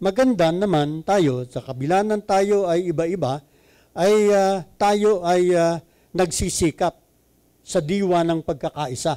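A man speaks at a high pitch with a dark, mellow tone and ordinary pitch variation. His pace is fairly slow, against a quiet background. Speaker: preacher. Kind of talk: sermon. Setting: church. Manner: code-switching Tagalog and English; halting, filler-heavy. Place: hall. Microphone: handheld.

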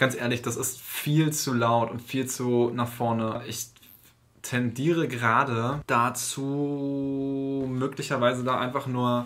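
A man talks at a very slow pace in a flat, monotone delivery. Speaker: composer vlogger. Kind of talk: casual vlog chat. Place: studio. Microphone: camera far.

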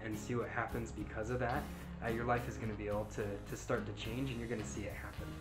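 A man at a very fast pace, with clear music in the background. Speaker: motivational vlogger. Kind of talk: casual vlog chat. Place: home room. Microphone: webcam.

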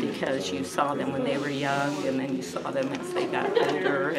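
Moderate pace over loud background noise. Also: woman. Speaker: interviewee. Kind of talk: interview answer. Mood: warm, nostalgic.

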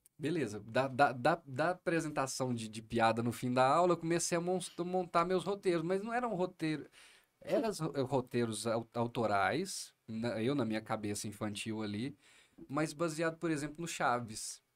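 The background is quiet as a man talks at a moderate pace. His intonation is lively. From Minas Gerais, Brazil (Triângulo Mineiro); Minas Gerais, Brazil. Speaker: comedian. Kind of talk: podcast interview. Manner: animated. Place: studio. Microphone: studio mic.

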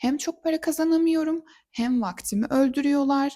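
The recording is very clean and the background silent. The woman's tone is dark and mellow. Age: 20s. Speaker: interior designer and vlogger. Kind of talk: personal vlog monologue.

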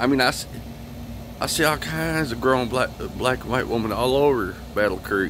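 Over noticeable background noise, a man with a medium pitch speaks at a moderate pace with lively intonation, the sound dry with no echo. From Michigan. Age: 40s. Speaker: vlogger. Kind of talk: personal video monologue. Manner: halting, repetitive. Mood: aggrieved, complaining. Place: street. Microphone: phone near.

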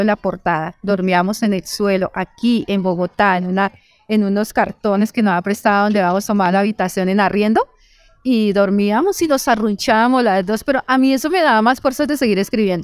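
In a dry recording with no echo and a quiet background, a woman speaks at a fairly quick pace with very even loudness and ordinary pitch variation. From Colombian Llanos (Meta, Villavicencio); Meta, Colombia. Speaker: novelist; interviewee. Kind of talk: interview. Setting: book fair. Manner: halting, many repetitions. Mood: earnest, reflective life story. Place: shop. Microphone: handheld.

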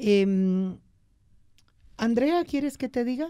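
A woman's voice is heard over a quiet background. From Bolivia. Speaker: radio host. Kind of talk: political interview. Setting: studio. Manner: animated. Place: studio. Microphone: studio mic.

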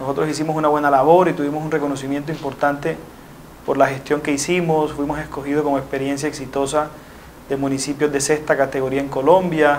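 Light background noise runs under a man's voice. He talks at a very fast pace in a monotone, flat intonation. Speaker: interviewee. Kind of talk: interview answer. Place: studio. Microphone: lapel.

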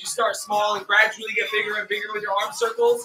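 Over clear music in the background, a man speaks at a fairly quick pace in a raised, projected voice. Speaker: fitness coach. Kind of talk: workout instruction. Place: home room. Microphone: camera far.

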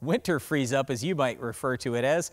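Lively intonation carries the speech at a moderate pace over a quiet background. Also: man. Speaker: farm show host. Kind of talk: explanatory commentary to camera. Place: open country.

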